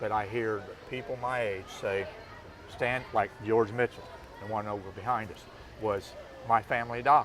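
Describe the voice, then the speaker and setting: A man with an American accent speaks at a moderate pace and a medium pitch, his intonation fairly even. His loudness swings widely, long pauses come often, and background noise is noticeable. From US Midwest, Marshall, Illinois. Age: 60s. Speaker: small-town mayor. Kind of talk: interview.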